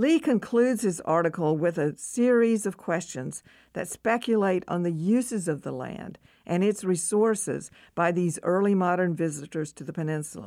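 This woman has an ordinary speaking voice, fairly low in pitch, with lively intonation at a moderate pace, recorded very cleanly over a silent background. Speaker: history professor. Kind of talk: reading aloud. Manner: formal.

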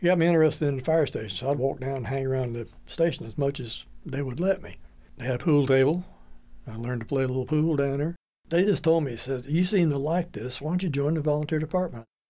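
A man with an American accent and a fairly high pitch, his tone dark and mellow. He talks very fast, with ordinary pitch variation. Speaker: retired fire chief. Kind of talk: interview.

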